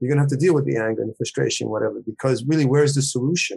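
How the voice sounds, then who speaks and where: His voice is somewhat breathy. This man talks at a fairly high pitch. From Puerto Rico and New York. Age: 60s. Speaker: writer and retired professor. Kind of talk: casual interview.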